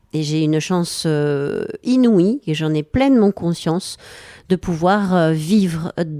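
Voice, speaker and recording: A woman with a southwestern French accent speaks at a fairly slow pace in a dark, mellow tone. The recording is very clean and dry, close with no echo and a silent background. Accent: southwest French. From southwest France, Lot-et-Garonne (Villeneuve-sur-Lot). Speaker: painter and songwriter. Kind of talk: radio interview.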